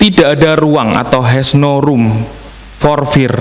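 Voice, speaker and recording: Speaking with a strong Javanese accent, a man uses a fairly high pitch and ordinary pitch variation, with audible room echo and noticeable background noise. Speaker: preacher. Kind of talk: sermon. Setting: church service streamed online.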